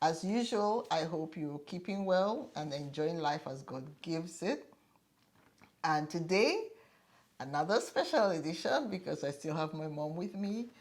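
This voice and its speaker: A woman with a normal speaking voice talks at a fairly slow pace. Her pitch is fairly low, with ordinary variation. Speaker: video host. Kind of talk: casual interview with guest.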